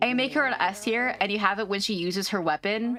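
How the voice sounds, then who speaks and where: The voice is loud and animated in tone, moving at a fairly quick pace. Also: woman. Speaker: VTuber streamer. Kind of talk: live game stream commentary and chat.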